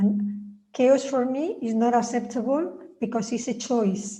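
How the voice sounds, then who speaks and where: A woman's voice comes through somewhat breathy, in a dark, mellow tone. Her intonation stays fairly even, and room echo is audible. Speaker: spiritual author. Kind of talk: reading aloud. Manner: droning.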